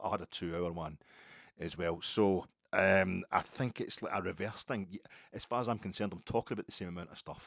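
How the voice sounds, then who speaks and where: Talking at a very fast pace, a man with a west coast Scottish accent has a very deep, low pitch on a very clean recording with a silent background. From Scotland, Ayrshire. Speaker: podcast host. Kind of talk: casual monologue. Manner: slurred, mumbly.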